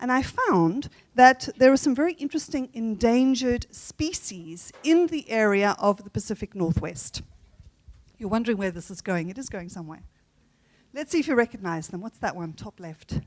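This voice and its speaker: A woman speaks at a moderate pace with a fairly high pitch and very wide pitch swings. The sound is dry and close, with no echo. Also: big swings in loudness. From South Africa. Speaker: conference plenary speaker on language teaching. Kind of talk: conference talk. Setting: conference hall with audience.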